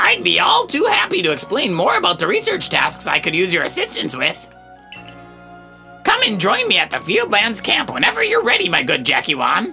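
Over clear background music, a man uses a put-on character voice pitched high for a man. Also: moderate pace. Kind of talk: reading video game dialogue aloud. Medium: game stream. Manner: jovial, encouraging, slightly formal.

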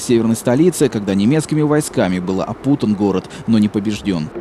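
A man talks at a fairly quick pace with a fairly low pitch. Noticeable background noise runs underneath. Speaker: TV news reporter. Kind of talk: news report narration.

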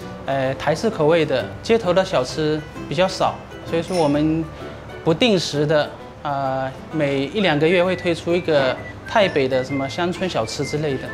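A man talks at a fairly slow pace with ordinary pitch variation. Clear music plays in the background. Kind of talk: interview answer. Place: cafe.

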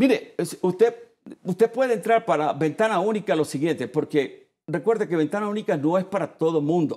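Lively intonation carries a man's high-pitched voice at a moderate pace. His tone is dark and mellow against a quiet background. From Puerto Rico. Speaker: chamber of commerce president; guest. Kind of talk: TV interview. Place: studio.

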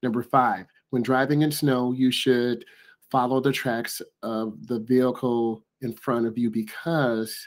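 A man talks at a fairly slow pace with fairly even intonation. The background is quiet. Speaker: driving instructor. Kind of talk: tutorial. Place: home room. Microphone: webcam.

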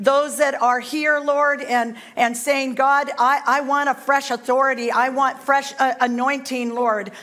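Her pitch is high and her intonation fairly even as the woman talks at a fairly slow pace. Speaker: guest preacher. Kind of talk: sermon. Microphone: headset.

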